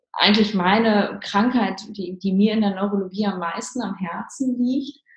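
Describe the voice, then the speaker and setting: With fairly even intonation, the somewhat breathy voice moves along at a fairly slow pace. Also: woman. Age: 30s. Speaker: neurologist and ayurveda practitioner. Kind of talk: interview. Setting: remote call. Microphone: poor audio quality.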